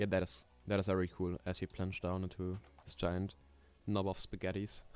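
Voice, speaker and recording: A man's very deep, low voice with a slight German accent, monotone and flat, at a moderate pace. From Germany. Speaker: coaster sim streamer. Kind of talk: casual live stream chat. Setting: live stream.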